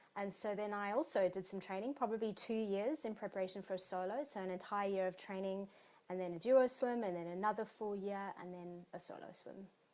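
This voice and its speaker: A woman speaks with a South African accent at a fairly quick pace. Her medium pitch shows ordinary pitch variation. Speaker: exercise physiologist and marathon swimmer. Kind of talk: interview.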